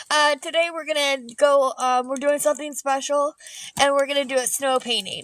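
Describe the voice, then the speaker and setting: A woman speaks loudly at a high pitch. Her intonation stays monotone and flat. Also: moderate pace. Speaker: artist and painting livestreamer. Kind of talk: live painting stream chat. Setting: outdoors in the snow. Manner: hesitant, many fillers.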